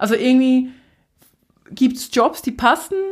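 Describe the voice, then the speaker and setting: Her voice sits high in pitch for a woman. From Switzerland, Basel area. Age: 20s. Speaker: influencer and city magazine founder. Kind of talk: casual interview.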